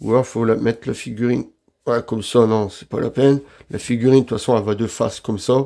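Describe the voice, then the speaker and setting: With a dark, mellow tone at medium pitch, a man talks at a very fast pace in a monotone, flat intonation. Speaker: figure collector youtuber. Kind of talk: unboxing review. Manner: casual, hesitant with fillers.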